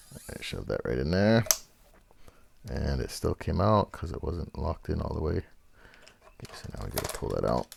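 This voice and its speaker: Over noticeable background noise, a man with a very deep, low voice speaks in a relaxed tone at a moderate pace, his pitch swinging very widely. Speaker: guitar repair youtuber. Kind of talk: tutorial. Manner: casual, relaxed.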